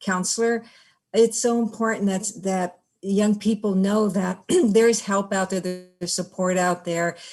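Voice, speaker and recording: With music in the background, a woman with an American accent speaks at medium pitch and a fairly slow pace in monotone, flat intonation. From Oxnard, California. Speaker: honoree, former professional boxer and college counselor. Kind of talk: acceptance speech.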